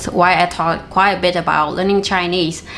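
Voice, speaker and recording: Noticeable background noise sits behind a woman speaking at a moderate pace with a medium pitch and ordinary pitch variation. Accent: Vietnamese. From Vietnam. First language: Vietnamese. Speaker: language learning youtuber. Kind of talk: tutorial.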